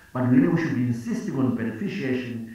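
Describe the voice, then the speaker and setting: Someone speaks at a very fast pace with ordinary pitch variation, with strong room echo around the voice. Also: man. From Zimbabwe. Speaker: finance minister. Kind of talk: panel discussion. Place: office. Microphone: video call.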